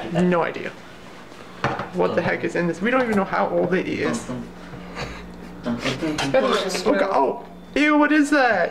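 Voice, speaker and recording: A man speaks with long, frequent pauses. Noticeable noise runs in the background. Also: moderate pace. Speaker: college student, vlogger. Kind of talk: casual vlog talk to camera. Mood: amused, grossed out. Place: kitchen.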